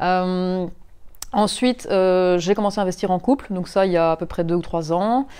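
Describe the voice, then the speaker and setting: Over a quiet background, a woman with a medium pitch speaks at a moderate pace with ordinary pitch variation. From Belgium, Mons. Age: 30s. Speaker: property investor. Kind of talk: interview. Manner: halting.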